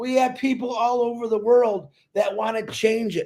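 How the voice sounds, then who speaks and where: Extremely high-pitched for a man, his animated voice moves at a fairly slow pace with ordinary pitch variation. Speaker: network marketing promoter. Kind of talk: live stream talk. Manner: loud.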